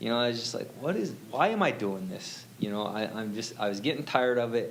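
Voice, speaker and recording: A man talks at a fairly quick pace in an animated tone. His intonation is lively, and the room echo is audible. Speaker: church youth volunteer. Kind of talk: testimony. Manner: loud.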